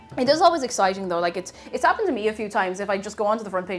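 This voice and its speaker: Over background music, a woman with an Irish accent speaks very fast at a medium pitch. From Ireland. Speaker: live streamer. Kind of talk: live stream cooking chat. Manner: casual, chatty.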